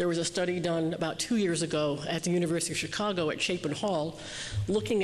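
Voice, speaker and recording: Noticeable background noise beneath fairly quick speech with ordinary pitch variation. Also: woman. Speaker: keynote speaker on youth development. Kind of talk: keynote speech. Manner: fast.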